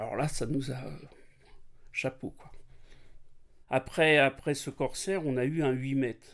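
A man's fairly high voice in a very clean recording with a silent background. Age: 60s. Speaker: sailor recounting an Atlantic crossing. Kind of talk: casual storytelling interview. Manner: hesitant, many fillers and repetitions.

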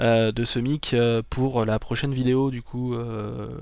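Speaking very slowly in a flat monotone, a man with a medium-pitched voice is heard against a quiet background. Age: 20s. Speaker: YouTuber. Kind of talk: casual chat. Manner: halting.

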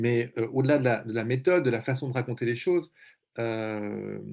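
With ordinary pitch variation, this man has an unremarkable speaking voice and keeps a moderate pace. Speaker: journalist and essayist. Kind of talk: panel discussion.

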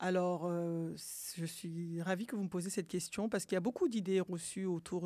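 Speaking at a fairly quick pace, a woman with a dark, mellow tone and fairly low pitch keeps her intonation fairly even on a very clean recording with a silent background. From France, born in Mali. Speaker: activist, association president. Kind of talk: interview.

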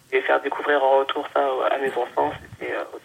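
The recording has noticeable background noise. The speech moves at a moderate pace. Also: woman. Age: 30s. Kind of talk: casual interview. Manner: halting.

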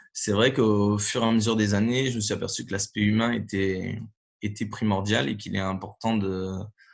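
A plain, everyday voice with fairly even intonation over a quiet background. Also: man. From northern France (Nord). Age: 30s. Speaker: handball coach. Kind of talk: interview.

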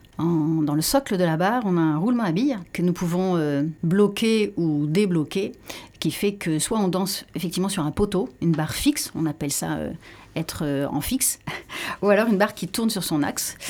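Lively intonation at a moderate pace marks a plain, everyday voice. The recording is very clean, with a silent background. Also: woman, fairly low pitch for a woman. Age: 50s. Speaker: pole dance athlete. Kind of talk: radio interview.

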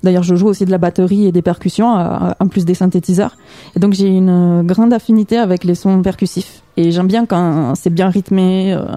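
At a moderate pace, a woman with a medium-pitched voice and a dark, mellow tone speaks with fairly even intonation and very even loudness, in a dry, close sound with no echo. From Toulouse, southern France. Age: young. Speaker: musician. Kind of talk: radio interview. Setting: radio studio.

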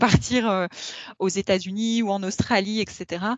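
A woman speaks at a very slow pace. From France. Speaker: corporate lawyer. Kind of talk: interview. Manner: hesitant, many fillers.

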